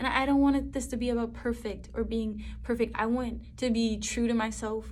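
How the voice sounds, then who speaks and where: A woman talks at a fairly quick pace with very even loudness. Audible room echo is present. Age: 20s. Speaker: vlogger. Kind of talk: casual talk to camera. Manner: fast; animated.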